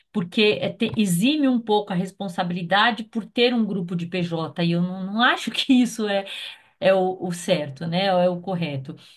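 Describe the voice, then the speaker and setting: A woman with a somewhat breathy voice talks at medium pitch and a moderate pace, her pitch varying in an ordinary way. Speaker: consultant. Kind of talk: meeting discussion.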